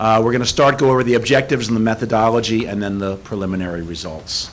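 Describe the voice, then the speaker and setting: Over noticeable background noise, a man speaks at a medium pitch with ordinary pitch variation. His pace is very fast. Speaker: survey researcher presenting results. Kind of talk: presentation at public meeting.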